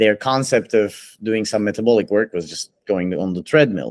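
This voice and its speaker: A man's fairly low voice with lively intonation and a non-native accent, at a moderate pace, dry and close with no echo on a very clean recording with a silent background. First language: not English. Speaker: podcast host, fitness coach. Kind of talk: casual podcast interview.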